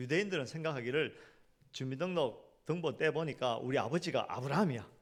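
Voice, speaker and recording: Animated in tone, a man talks at a fairly quick pace. His fairly high voice has lively intonation. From South Korea, Gyeongsang region. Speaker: pastor. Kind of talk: sermon.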